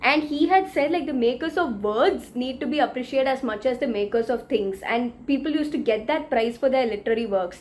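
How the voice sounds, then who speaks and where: A woman with a South Indian accent speaks at a fairly quick pace with hardly any pauses, her high voice animated and her intonation lively. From India, Tamil Nadu. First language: Tamil. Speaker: book vlogger. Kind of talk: news roundup vlog.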